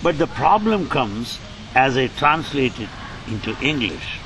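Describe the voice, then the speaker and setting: A man with an Indian accent, very wide pitch swings and a very slow pace, amid noticeable background noise. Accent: Indian English, Telugu. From India, Andhra Pradesh. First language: Telugu. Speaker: spiritual translator and former college lecturer. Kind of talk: interview.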